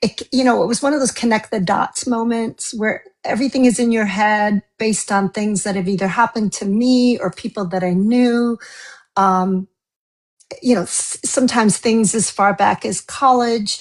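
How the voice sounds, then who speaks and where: Somewhat breathy, a woman with an American accent speaks at a fairly high pitch. Her pitch varies in an ordinary way. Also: moderate pace, quiet background. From US East Coast. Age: 60s. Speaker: novelist. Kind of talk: interview.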